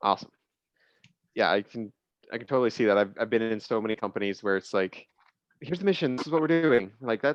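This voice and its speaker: A man speaks very fast at a medium pitch, with lively intonation. His long, frequent pauses come through in a dry, close sound with no echo. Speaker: business leader. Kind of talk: casual panel discussion. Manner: loud.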